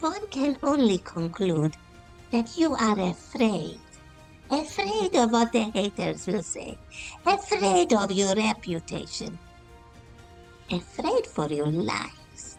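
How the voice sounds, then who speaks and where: A female-sounding voice does a put-on character voice at a fairly high pitch for a woman and a fairly slow pace. Clear music plays in the background. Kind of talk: opinion monologue to camera. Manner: scolding, indignant.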